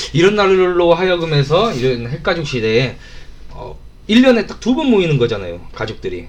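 Over noticeable background noise, a man talks at a moderate pace in an animated tone, his fairly high voice making big swings in loudness. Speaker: radio host. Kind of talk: casual radio chat. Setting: studio. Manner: animated, joking.

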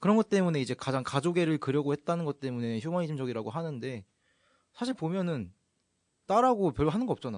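A man with a fairly high pitch, very wide pitch swings and a very fast pace. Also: dry, close sound with no echo. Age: 20s. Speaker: guest, public service worker. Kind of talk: casual chat.

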